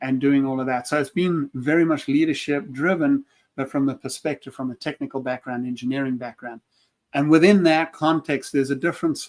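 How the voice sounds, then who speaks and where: Here a man speaks with a South African accent at a fairly quick pace. The sound is dry and close, with no echo. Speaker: leadership consultant, former engineer. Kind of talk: casual panel chat.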